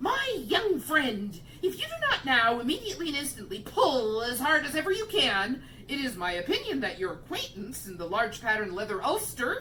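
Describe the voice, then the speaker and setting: A woman performs a put-on character voice at a high pitch, swinging very widely up and down. She goes at a moderate pace over clear background noise. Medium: read story. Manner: scornful, formal.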